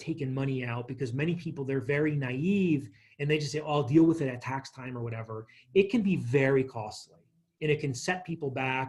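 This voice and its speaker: At a very fast pace, a man with a medium pitch speaks in a somewhat breathy voice. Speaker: financial workshop presenter. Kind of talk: lecture.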